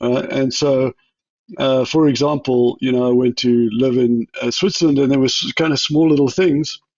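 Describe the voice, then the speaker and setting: A man with a South African accent speaks at a medium pitch with fairly even intonation. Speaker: chief technology officer. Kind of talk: interview. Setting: podcast. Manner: hesitant, many fillers and restarts.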